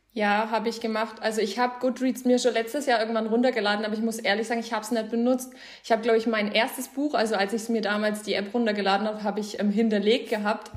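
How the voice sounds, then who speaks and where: A woman's very fast, monotone delivery with flat intonation and hardly any pauses. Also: fairly high pitch for a woman. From Bavaria, Germany. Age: 20s. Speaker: book influencer. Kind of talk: casual chat.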